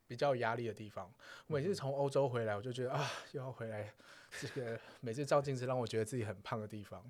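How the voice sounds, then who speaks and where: Over a silent background in a very clean recording, a man talks very fast with ordinary pitch variation. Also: medium pitch for a man. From southern Taiwan. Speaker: podcaster on sex topics. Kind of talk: casual chat. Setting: recording studio.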